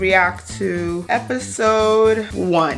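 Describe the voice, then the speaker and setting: A woman with an American accent talks over music in the background. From United States. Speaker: YouTuber reacting to videos. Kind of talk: casual reaction commentary. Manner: animated.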